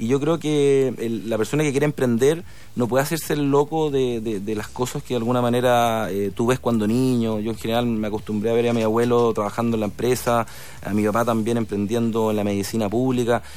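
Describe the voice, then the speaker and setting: A plain, everyday voice from a man, medium in pitch, with ordinary pitch variation and a fairly quick pace. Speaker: sports marketing entrepreneur, former sports journalist. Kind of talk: radio interview.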